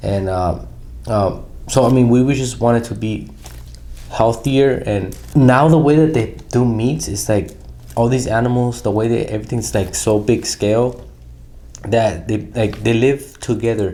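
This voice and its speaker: Speaking at a fairly slow pace, a man with a medium pitch and ordinary pitch variation is heard with audible room echo and noticeable background noise. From Southern California (Pomona). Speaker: podcast co-host. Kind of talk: casual chat.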